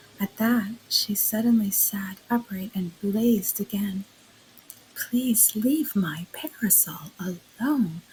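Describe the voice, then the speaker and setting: Soft-spoken and very slow, a woman talks at a medium pitch with ordinary pitch variation. Noticeable background noise is present. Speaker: narrator. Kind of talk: sleep story. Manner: quiet, soft-spoken.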